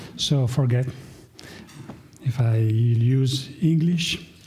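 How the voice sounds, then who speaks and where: Audible room echo surrounds the voice. It belongs to a man with a medium pitch. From Italy. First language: Italian. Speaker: professor. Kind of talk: conference talk. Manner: halting, with fillers.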